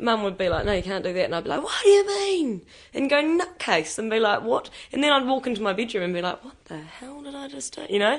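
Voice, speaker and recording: A woman with a New Zealand accent, very fast, fairly high in pitch, with very wide pitch swings and big swings in loudness. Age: young. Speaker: young worker. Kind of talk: interview.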